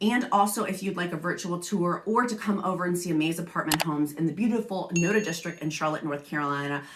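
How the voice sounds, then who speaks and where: The speech runs at a very fast pace with ordinary pitch variation over noticeable background noise. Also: woman. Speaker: apartment community promoter / vlogger. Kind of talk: product review vlog.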